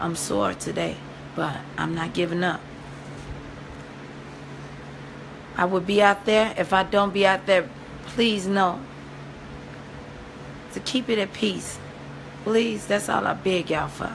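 Against noticeable background noise, a woman sounds strained as she speaks at a fairly slow pace with ordinary pitch variation and long, frequent pauses. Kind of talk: casual vlog chat. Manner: weak, worn-out, grief-strained pleading voice. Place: home room. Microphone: phone near.

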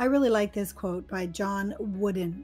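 A woman with an American accent at a very slow pace, music in the background. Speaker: English teacher. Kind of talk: educational lesson narration. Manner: clear, slow.

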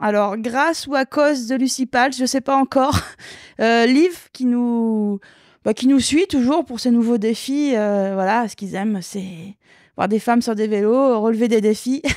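A woman with a fairly high pitch speaks at a fairly slow pace, with ordinary pitch variation. The sound is dry with no echo, over a quiet background. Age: 40s. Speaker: retired downhill mountain bike champion; guest. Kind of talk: interview. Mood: relaxed, storytelling. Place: home room. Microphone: handheld.

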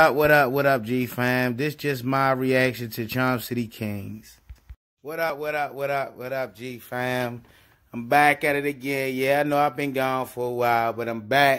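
Over a quiet background, a man talks at a moderate pace with a medium pitch. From Baltimore, Maryland, US. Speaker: YouTuber; vlogger. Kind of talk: casual video reaction. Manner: animated. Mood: proud, upbeat. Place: home room. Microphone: phone near.

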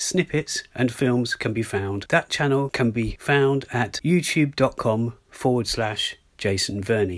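With an unremarkable speaking voice, a man speaks at a moderate pace and a medium pitch. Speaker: podcast host. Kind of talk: podcast interview and narration.

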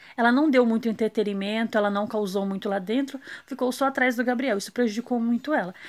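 A woman with a plain, everyday voice talks at a moderate pace in a fairly high pitch with ordinary pitch variation, against a quiet background. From Brazil. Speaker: reality show commentator YouTuber. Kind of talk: casual vlog commentary. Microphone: phone near.

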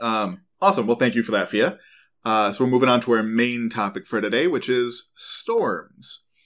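In an American accent, an ordinary speaking voice moves at a moderate pace with ordinary pitch variation on a very clean recording with a silent background. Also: man, medium pitch for a man. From Central New York. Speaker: podcast host, geoscience explainer. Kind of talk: casual educational chat.

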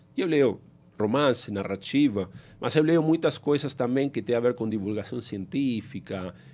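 A man with a strong Spanish accent talks at a moderate pace in a dark, mellow tone with ordinary pitch variation. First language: Spanish (speaking Portuguese). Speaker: fintech founder and CEO; guest. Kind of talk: interview. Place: studio. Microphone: studio mic.

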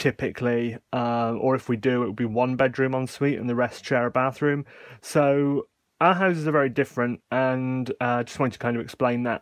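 A man's fairly quick speech with fairly even intonation. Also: quiet background. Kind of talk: casual tutorial chat. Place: home room. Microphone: phone near.

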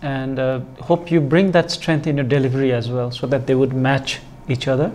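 Ordinary pitch variation in a man's voice, delivered at a moderate pace. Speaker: competition judge. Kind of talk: giving feedback, formal critique. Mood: encouraging, calm. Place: studio. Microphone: lapel.

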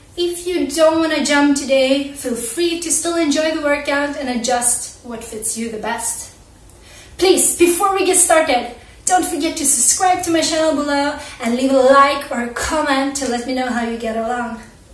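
Audible room echo carries a woman's high-pitched voice, which has ordinary pitch variation and moves at a moderate pace. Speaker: fitness instructor. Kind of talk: workout instruction and vlog intro. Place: home room.

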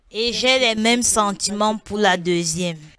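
A woman speaks at a medium pitch with ordinary pitch variation. The sound is dry with no echo, and there is light background noise. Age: 30s. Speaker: deliverance congregant. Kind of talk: testimony. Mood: subdued, earnest. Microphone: handheld.

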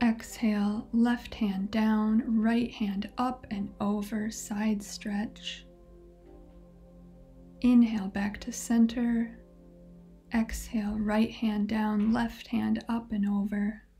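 Faint music plays in the background as a woman speaks. Her pace is very slow and her intonation monotone and flat. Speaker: yoga instructor. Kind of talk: guided yoga instruction. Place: home room.

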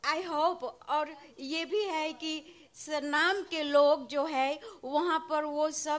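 A woman's high voice at a very slow pace, with fairly even intonation. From Suriname. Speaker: nurse. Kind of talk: devotee's audience question. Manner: halting. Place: hall. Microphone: handheld.

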